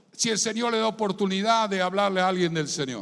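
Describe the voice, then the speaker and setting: A man talks with ordinary pitch variation. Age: 60s. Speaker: pastor. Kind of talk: sermon. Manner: animated.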